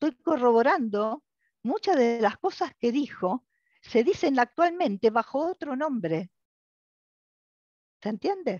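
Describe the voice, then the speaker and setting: Pitched high for a woman and swinging very widely, her voice moves at a fairly slow pace broken by long, frequent pauses. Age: 60s. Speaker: lecturer. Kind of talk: lecture. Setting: video call.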